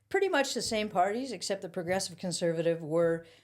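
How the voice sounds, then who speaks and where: A plain, everyday voice from a woman with a Canadian accent, medium in pitch, with ordinary pitch variation and a fairly quick pace, on a very clean recording with a silent background. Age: 60s. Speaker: former political youth activist. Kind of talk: casual chat. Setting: studio.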